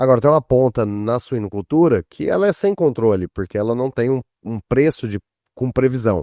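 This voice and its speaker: Heard dry and close with no echo, a man with a dark, mellow tone speaks at a moderate pace and uses ordinary pitch variation. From southern Brazil. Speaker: podcast host. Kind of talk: podcast interview.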